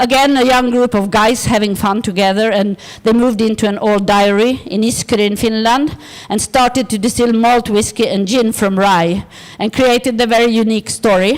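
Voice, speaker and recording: Over noticeable background noise, a woman talks at a moderate pace and fairly high pitch, with fairly even intonation and very even loudness. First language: Swedish. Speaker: design organisation director. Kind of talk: conference presentation. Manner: halting.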